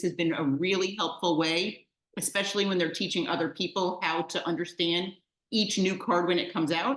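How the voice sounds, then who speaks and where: A woman speaks with a New York accent at a fairly quick pace. Her pitch sits in the medium range, with ordinary pitch variation. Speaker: mahjong teacher. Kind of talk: online class. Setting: video call. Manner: fast.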